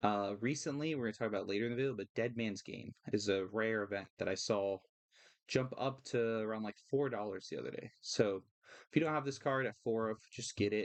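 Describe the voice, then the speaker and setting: Medium-pitched man at a fairly quick pace, with ordinary pitch variation. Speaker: card game content creator. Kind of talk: casual tutorial-style market commentary. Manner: fast; hesitant fillers (uh, um).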